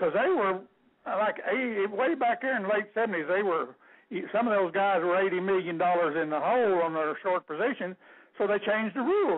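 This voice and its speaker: In a Texan accent, a man with a high voice talks at a fairly quick pace, his loudness very even and his pitch varying in an ordinary way. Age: 70s. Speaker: caller, retired rancher. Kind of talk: radio call-in talk.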